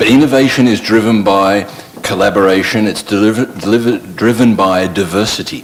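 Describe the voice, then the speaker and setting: A man speaks at a fairly quick pace with a fairly low pitch and ordinary pitch variation. Noticeable background noise runs behind him. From Australia. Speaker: panelist. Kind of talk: panel discussion.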